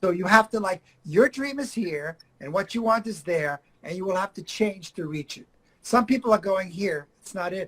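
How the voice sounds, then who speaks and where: A man with a non-native accent speaks at a moderate pace in an animated tone with lively intonation. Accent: foreign accent, works on it. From Argentina, Buenos Aires. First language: Spanish. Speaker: acting coach. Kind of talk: interview.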